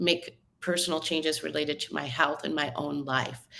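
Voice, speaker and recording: A woman in a normal speaking voice, with an American accent, at a moderate pace. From northern US. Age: 60s. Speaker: magazine editor. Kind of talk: podcast interview.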